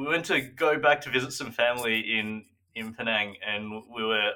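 The tone is bright and sharp, with an Australian accent. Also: man. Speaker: podcast co-host. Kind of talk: casual chat.

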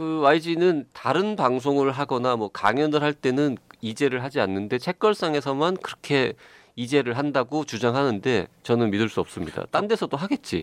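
An ordinary speaking voice, with lively intonation at a moderate pace, comes through a dry, close sound with no echo and a quiet background. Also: man, fairly high pitch for a man. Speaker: podcast host. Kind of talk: casual chat.

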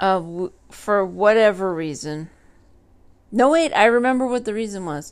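A normal speaking voice from a woman, lively in intonation and moderate in pace, on a very clean recording with a silent background. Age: 30s. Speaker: solo podcaster. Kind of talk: casual monologue.

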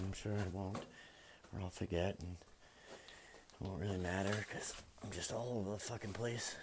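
A man with an American accent talks at a fairly quick pace and a fairly low pitch. There is noticeable background noise. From Massachusetts, suburbs of Boston. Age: 30s. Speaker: farmer and military veteran podcaster. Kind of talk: casual monologue. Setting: barn while cleaning stalls.

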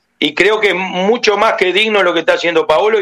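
A man's raised, projected voice, high in pitch, with ordinary pitch variation and a dry, close sound free of echo. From Uruguay. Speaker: former football player. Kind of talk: phone interview.

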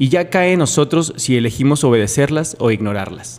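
A plain, everyday voice from a man, medium in pitch, with lively intonation at a moderate pace. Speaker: podcast host. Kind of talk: scripted narration; casual chat.

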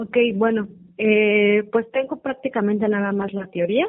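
At a fairly slow pace, a woman speaks with a medium pitch and ordinary pitch variation. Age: 20s. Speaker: customs and foreign trade graduate. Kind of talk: interview.

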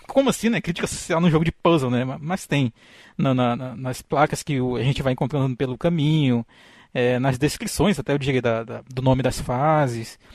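Against a quiet background, a man with an unremarkable speaking voice talks at a moderate pace, with medium pitch and ordinary pitch variation. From Brazil, interior of Amazonas (Tefé). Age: 30s. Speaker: podcaster, biologist with a doctorate. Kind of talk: casual chat.

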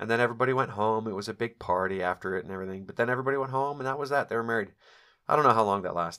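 In a very clean recording with a silent background, a man talks very fast at medium pitch in a bright, sharp tone with ordinary pitch variation. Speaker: podcast host. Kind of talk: storytelling monologue. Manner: casual, chatty.

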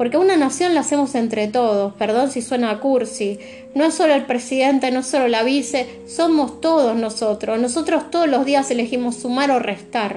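A woman with a Rioplatense accent speaks at a high pitch and a moderate pace, with hardly any pauses. Her loudness is very even, her pitch variation ordinary, and noticeable background noise is present. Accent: Argentine Rioplatense Spanish. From Argentina. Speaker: tarot reader. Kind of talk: tarot reading monologue. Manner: reflective, searching pace.

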